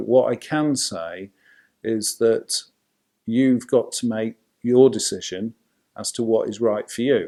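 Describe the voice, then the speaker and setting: Speaking very slowly with a Yorkshire accent, a man keeps his intonation fairly even and his tone dark and mellow. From Yorkshire, England. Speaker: family law solicitor. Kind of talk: casual talk to camera.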